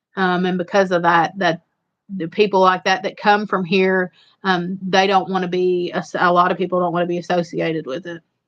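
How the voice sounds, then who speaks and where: A woman with an Eastern Kentucky accent speaks at medium pitch and a moderate pace. The background is quiet. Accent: Eastern Kentucky Appalachian. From Eastern Kentucky, Appalachia. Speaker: homestead channel live streamer. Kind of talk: casual chat on a live stream. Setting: live stream with a co-host.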